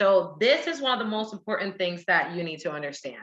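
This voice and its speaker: Her tone is animated, and she talks at a fairly quick pace. This woman's pitch swings very widely. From Puerto Rico. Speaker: direct sales team leader and soldier. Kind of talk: sales training presentation.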